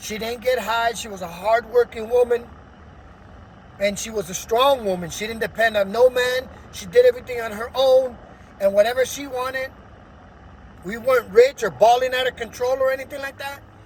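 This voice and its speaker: The speaker talks at a fairly quick pace but leaves long, frequent pauses, with noticeable background noise throughout. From Los Angeles, US. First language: Spanish. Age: adult. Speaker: vlogger telling life story. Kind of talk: personal testimony. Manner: energetic, hyperactive; hesitant with fillers.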